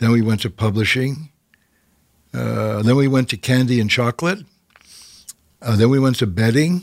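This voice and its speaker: Speaking at a moderate pace with a Canadian accent, a man keeps a medium pitch and ordinary pitch variation, leaving long, frequent pauses. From Canada. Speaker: TV host and producer. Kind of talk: interview. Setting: studio.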